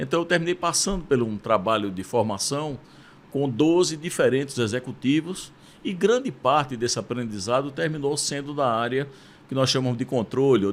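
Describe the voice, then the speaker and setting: Speaking at a moderate pace and medium pitch, a man with a Pernambuco accent uses ordinary pitch variation. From Brazil, Recife, Pernambuco. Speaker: university rector. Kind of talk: interview.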